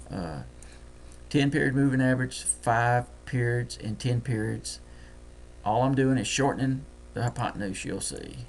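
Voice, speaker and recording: At a moderate pace and with long, frequent pauses, a man talks with a Deep South US accent. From US Deep South. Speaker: trading software tutor. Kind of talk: screen-share tutorial. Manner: casual, thinking aloud.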